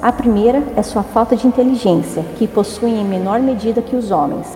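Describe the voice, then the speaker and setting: Noticeable background noise sits behind a woman's fairly high voice. She keeps a moderate pace with ordinary pitch variation. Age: 30s. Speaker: historian. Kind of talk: casual chat.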